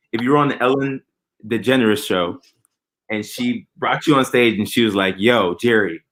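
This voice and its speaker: A man with an ordinary speaking voice talks at a moderate pace, with a medium pitch and ordinary pitch variation. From Texas, Houston. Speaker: podcast host. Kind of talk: casual chat.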